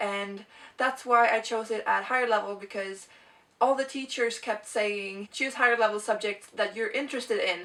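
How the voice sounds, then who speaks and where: Speaking with a Swedish accent, a woman uses a fairly high pitch, ordinary pitch variation and a moderate pace. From Sweden. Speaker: video blogger. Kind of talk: casual vlog talk.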